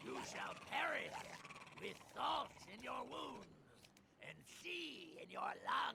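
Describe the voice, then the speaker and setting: Guttural and put-on, this character voice crawls along at a very slow pace with long, frequent pauses. Background noise is clearly audible. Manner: menacing.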